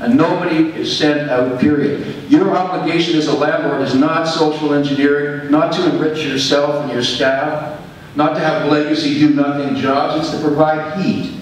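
Strong room echo and light background noise surround a man speaking at a moderate pace with hardly any pauses. His pitch is fairly high. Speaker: tenant and housing activist. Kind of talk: public deputation at a board meeting. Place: meeting room.

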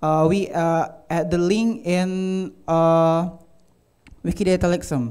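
With an Indonesian accent, a man talks at a very slow pace, leaving long, frequent pauses. His loudness stays very even and his pitch varies in an ordinary way. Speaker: university student. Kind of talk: conference talk. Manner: halting.

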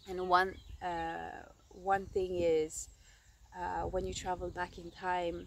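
A woman speaks in a warm tone. The sound is dry with no echo, over light background noise. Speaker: storyteller. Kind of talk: storytelling, an improvised fairy-tale-style narration to the camera. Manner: halting, with frequent 'um' and 'uh' fillers as she makes up the tale; warm and affectionate, laughing and getting a bit emotional. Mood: animated, expressive. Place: open country. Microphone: phone near.

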